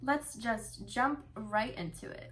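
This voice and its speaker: Noticeable background noise sits behind the voice. A woman talks at a very slow pace. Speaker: beauty YouTuber. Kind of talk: casual talk to camera.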